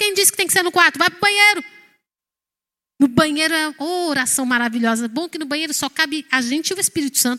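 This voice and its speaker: A woman's extremely high, bright, sharp voice, raised and projected, very fast, with lively intonation and an animated tone, in a dry, close sound with no echo. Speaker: pastor. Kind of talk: sermon.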